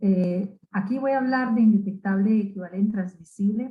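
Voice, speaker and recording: A woman speaks at a medium pitch. Her tone is dark and mellow and somewhat breathy. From Colombia. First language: Spanish. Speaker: HIV advocate, long-term survivor. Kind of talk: webinar presentation. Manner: halting.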